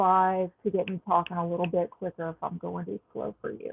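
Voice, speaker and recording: A woman speaks with a Southern US accent. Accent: southern drawl. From Texas. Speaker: astrologer and tarot reader. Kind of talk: astrology forecast monologue. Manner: slow; casual, frequent um fillers. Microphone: sound quality issues at new location.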